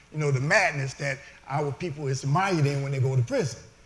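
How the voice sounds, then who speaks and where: A man talks at a very fast pace with a fairly high pitch. Room echo is audible, along with noticeable background noise. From US Midwest, Detroit. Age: 60s. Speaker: formerly incarcerated speaker. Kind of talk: testimony. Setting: stage with audience.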